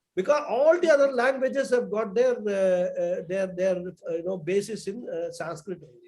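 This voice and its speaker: A man's high-pitched voice with a Tamil accent, moderate pace, lively intonation and big swings in loudness. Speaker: spiritual teacher. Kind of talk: online class discussion.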